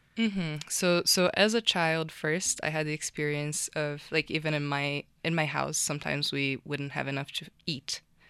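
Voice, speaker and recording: With a Portuguese accent, a woman speaks in a very deep, low pitch and a bright, sharp tone at a moderate pace, her intonation fairly even, the sound dry and close with no echo on a very clean recording with a silent background. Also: hardly any pauses. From Brazil. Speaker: tech founder. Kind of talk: interview.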